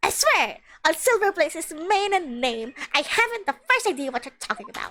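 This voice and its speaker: Putting on a character voice, a woman speaks at a moderate pace with an extremely high pitch and very wide pitch swings. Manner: indignant, comic.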